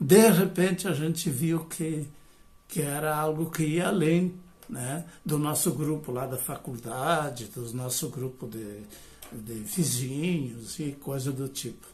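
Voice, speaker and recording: Somewhat breathy and fairly high-pitched, a man speaks at a very slow pace with ordinary pitch variation in a room with audible echo. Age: 70s. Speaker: retired professor and biodanza facilitator. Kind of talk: lecture. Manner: hesitant, many fillers.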